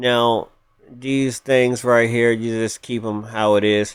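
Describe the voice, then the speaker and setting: Speaking at a fairly slow pace, this man has a medium-pitched voice, a plain, everyday voice. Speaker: gaming YouTuber. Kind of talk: gameplay tutorial. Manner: casual, with false starts.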